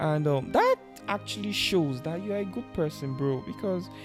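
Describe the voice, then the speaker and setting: The speaker keeps a moderate pace while music sounds in the background. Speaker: interviewer, channel host. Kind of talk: interview questions. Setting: studio.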